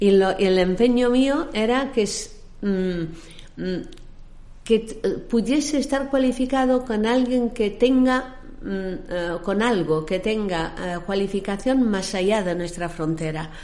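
Audible room echo surrounds a woman's fairly high voice, dark and mellow in tone. She speaks very slowly with lively intonation. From raised internationally, born in Egypt. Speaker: maritime services company founder. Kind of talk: interview.

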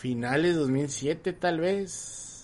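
A man speaks at a fairly high pitch with ordinary pitch variation. Noticeable background noise runs beneath him. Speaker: podcast host. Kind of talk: casual chat. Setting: live stream.

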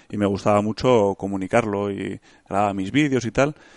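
A man speaks at a fairly low pitch. The background is quiet, and the sound is dry and close with no echo. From Spain, Bilbao (Basque Country). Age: 30s. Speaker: hunter and engineer. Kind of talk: casual interview.

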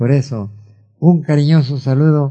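A man speaks fairly slowly in a dark, mellow tone that is somewhat breathy. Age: 80s+. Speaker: radio host. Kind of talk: radio show. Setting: studio.

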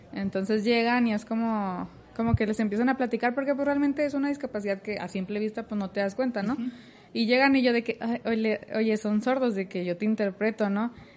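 A woman speaks in a normal speaking voice, fairly high in pitch, with fairly even intonation at a moderate pace. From Mexico, Torreón, Coahuila. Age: 20s. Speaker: biomedical engineering student and robotics mentor. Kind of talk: casual interview. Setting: office cafeteria, handheld mic.

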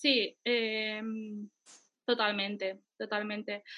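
A woman's voice of fairly high pitch. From Andalusia, Spain. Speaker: travel blogger. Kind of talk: interview.

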